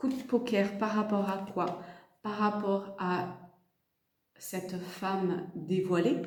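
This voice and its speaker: At a medium pitch, a woman talks at a very slow pace with long, frequent pauses and fairly even intonation. Her loudness swings widely, and audible room echo fills the sound. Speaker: tarot card reader and energy healer. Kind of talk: tarot reading guidance. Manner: speaking very softly today; halting, many fillers and repeats.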